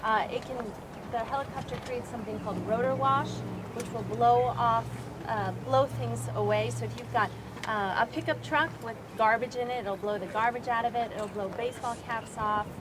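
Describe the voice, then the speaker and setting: There is noticeable background noise as a woman talks at a moderate pace with medium pitch and very wide pitch swings. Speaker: flight nurse. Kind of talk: safety training talk. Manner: mumbling; quiet.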